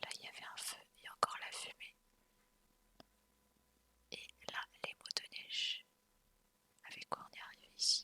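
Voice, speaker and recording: Whispering in a calm tone at a fairly slow pace, with long, frequent pauses. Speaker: ASMR content creator. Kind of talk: casual commentary to camera during an outdoor trip. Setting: outdoors in snowy forest with ambient wind and motor sounds. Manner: soft, calm.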